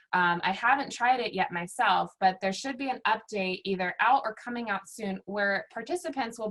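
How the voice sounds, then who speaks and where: A woman with an American accent has an ordinary speaking voice. Her pitch is medium with ordinary variation, and her pace is moderate. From Virginia, US. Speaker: workshop facilitator. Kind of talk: online workshop presentation.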